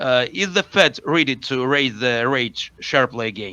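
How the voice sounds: This man's speech moves at a fairly slow pace. His medium-pitched voice has a bright, sharp tone and lively intonation.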